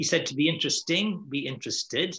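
A man with an Irish accent and a bright, sharp tone, over a quiet background. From Ireland. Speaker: networking keynote speaker; keynote speaker. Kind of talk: panel Q&A discussion. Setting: video call. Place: home room. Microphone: webcam.

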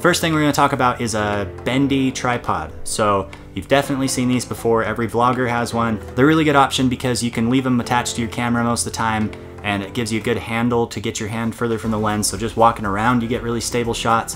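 Over clear background music, a man talks very fast with hardly any pauses. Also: ordinary pitch variation. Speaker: video creator. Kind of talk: tutorial. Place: home room.

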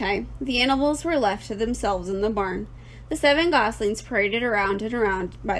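This is an unforced reading voice. The words are read aloud.

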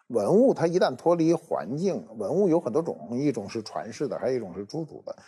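Moving at a fairly quick pace with hardly any pauses, a man's dark, mellow voice carries vocal fry and very wide pitch swings. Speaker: guest expert on archaeology. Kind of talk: casual chat. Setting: studio. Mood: calm, explanatory. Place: studio. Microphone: lapel.

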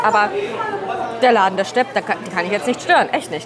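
Crowd noise fills the background as a woman speaks. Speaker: food vlogger. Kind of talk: casual vlog chat. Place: cafe. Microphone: lapel.

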